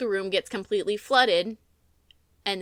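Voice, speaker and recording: A woman speaks at a fairly quick pace in a bright, sharp tone, on a very clean recording with a silent background. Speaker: voice actor. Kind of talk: episode review narration.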